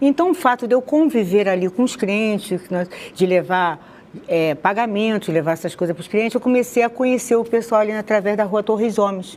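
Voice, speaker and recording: Noticeable background noise surrounds a woman with a Rio de Janeiro accent. Her fairly high voice moves at a fairly quick pace with lively intonation. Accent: carioca. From Rio de Janeiro, Madureira. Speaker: interviewee sharing conversion testimony. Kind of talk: testimony interview.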